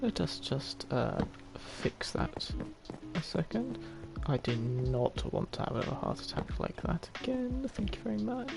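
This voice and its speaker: A man at a fairly slow pace, with music in the background. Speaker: gaming streamer. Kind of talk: live gameplay commentary. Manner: quiet, hesitant.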